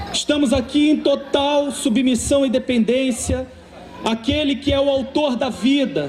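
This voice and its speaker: A man with a Carioca accent speaks at an extremely high pitch, fairly slow, with fairly even intonation and very even loudness. Audible room echo and noticeable background noise are present. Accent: carioca (Rio) accent, noticeable. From Rio de Janeiro, Brazil. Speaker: preacher. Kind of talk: sermon.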